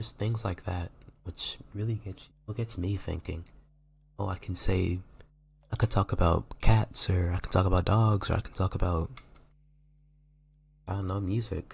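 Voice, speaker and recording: A man whispers quietly, somewhat breathy, at a moderate pace. Long, frequent pauses break up his speech. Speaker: college student. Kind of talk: casual video diary ramble. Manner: whispered, quiet.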